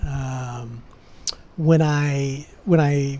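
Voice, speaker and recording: A man with a Californian accent speaks at a fairly high pitch with fairly even intonation. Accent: Californian American. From California, San Francisco Bay Area. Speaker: expat entrepreneur, residency consultant. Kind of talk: interview podcast. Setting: in person, Buenos Aires.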